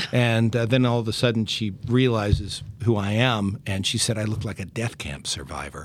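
At a moderate pace with hardly any pauses, a man with a medium pitch and ordinary pitch variation has a plain, everyday voice. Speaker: music therapist and podcast host. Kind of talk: casual interview chat.

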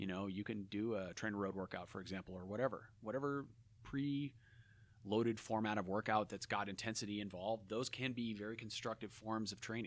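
In a plain, everyday voice, a man with fairly low pitch speaks at a fairly quick pace with fairly even intonation, on a very clean recording with a silent background. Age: 40s. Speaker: former pro cyclist and coach. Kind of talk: casual interview. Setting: in person.

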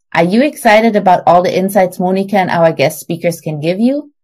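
Her pitch medium and her intonation lively, a woman talks at a fairly quick pace. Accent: German. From Germany. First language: German. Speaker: podcast host. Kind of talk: scripted narration.

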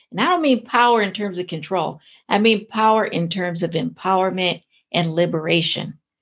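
A woman with an ordinary speaking voice talks fairly slowly at a medium pitch, using lively intonation. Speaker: podcast host and professor. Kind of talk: interview.

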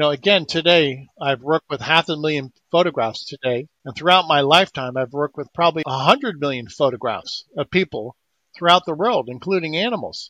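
With a normal speaking voice, this speaker talks at a fairly quick pace with hardly any pauses and ordinary pitch variation, the sound dry and close with no echo over a quiet background. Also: man, fairly high pitch for a man. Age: 60s. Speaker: inventor promoting energy healing devices. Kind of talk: interview.

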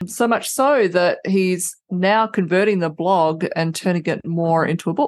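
A woman at a medium pitch, fairly slow pace, ordinary pitch variation, very even loudness and hardly any pauses, against a quiet background. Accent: Australian. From Adelaide, Australia. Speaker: retired banking and tech professional. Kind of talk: casual interview chat.

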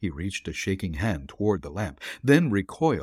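Somewhat breathy, a man speaks at a fairly low pitch. His pitch swings very widely. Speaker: podcast host and narrator. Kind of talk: ghost story read aloud, dramatic narration of a horror tale. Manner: suspenseful, building dread through the climactic horror passage; warm and chatty in intro and sign-off.

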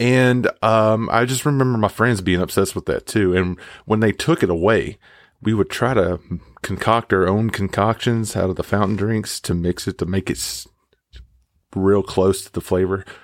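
A man with a Southern US accent speaks at a moderate pace in a fairly low pitch, with a dry, close sound with no echo on a very clean recording against a silent background. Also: ordinary pitch variation. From Mississippi, US South. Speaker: listener contributor. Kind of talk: recorded personal story. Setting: home recording booth. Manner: animated.

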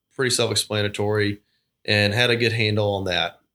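A man with a Georgia accent talks at a fairly low pitch and fairly slow pace in a bright, sharp tone. The recording is very clean with a silent background. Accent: US Southern (Georgia). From South Georgia, US (Thomasville). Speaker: trust officer and portfolio manager. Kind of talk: casual interview. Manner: halting, with repeated words.

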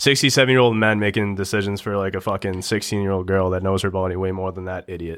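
A man with a fairly low pitch, fairly even intonation, a fairly quick pace and hardly any pauses. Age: 20s. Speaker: hockey podcaster and youth coach. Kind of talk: casual chat.

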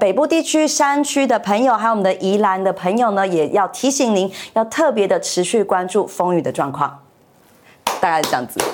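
Fairly quick speech from a woman at medium pitch, with very even loudness and very wide pitch swings. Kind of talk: news reading demonstration. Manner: clear articulation.

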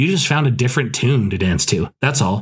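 A man talks with an American accent at medium pitch. His voice is somewhat breathy. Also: very clean recording, silent background. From Scotland and US. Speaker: podcast host, author. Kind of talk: casual book review monologue. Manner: hesitant, many fillers. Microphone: new equipment, improved audio.

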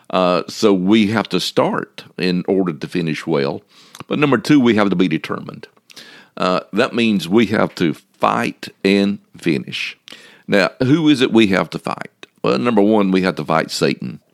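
A man's fairly low voice with vocal fry and very wide pitch swings, at a moderate pace, recorded dry and close with no echo. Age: 60s. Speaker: preacher. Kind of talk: sermon. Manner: halting.

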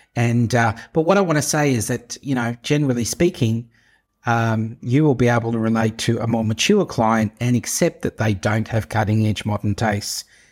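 A man talks in a plain, everyday voice, medium in pitch. His pace is moderate, with ordinary pitch variation. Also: very clean recording, silent background. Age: 50s. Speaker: podcast host, interior designer. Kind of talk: solo podcast monologue. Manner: casual, conversational with fillers.

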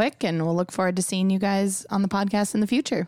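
Speaking fairly quickly with an Upper Midwest accent, a woman keeps a medium pitch and fairly even intonation. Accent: Upper Midwest (Minnesota). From US Midwest, Minnesota lakes area. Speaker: podcast host, marketing director. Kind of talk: podcast interview. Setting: studio.

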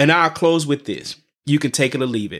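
Lively intonation and an animated tone at a moderate pace, on a very clean recording with a silent background. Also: man. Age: 40s. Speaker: podcast host, former minister. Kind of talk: monologue podcast.

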